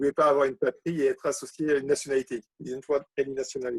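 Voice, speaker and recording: A man's fairly high-pitched voice with fairly even intonation, in a dry, close sound with no echo. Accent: French. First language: French. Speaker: poet. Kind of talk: casual chat. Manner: halting.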